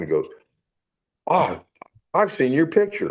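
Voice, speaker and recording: This man's voice shows vocal fry. His pitch swings very widely. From San Francisco, California. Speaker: navy veteran. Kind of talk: casual interview. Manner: halting.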